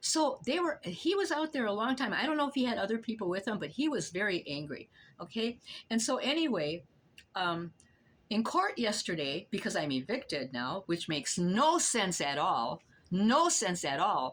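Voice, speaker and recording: A woman at a medium pitch with vocal fry and very wide pitch swings, on a very clean recording with a silent background. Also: moderate pace. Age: 80s+. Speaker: elderly tenant telling her story. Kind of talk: personal testimony. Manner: animated, repetitive.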